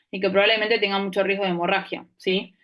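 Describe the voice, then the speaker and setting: This woman's voice sits at a medium pitch and moves at a fairly quick pace. Her intonation stays monotone and flat. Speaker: anesthesiology resident teaching a class. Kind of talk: lecture. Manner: fast.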